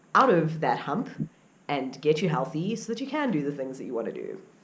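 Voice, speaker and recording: The speaker has an upbeat tone and a fairly quick pace. Audible room echo surrounds the voice. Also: woman. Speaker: outdoor vlogger. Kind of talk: vlog tips talk. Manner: casual, upbeat.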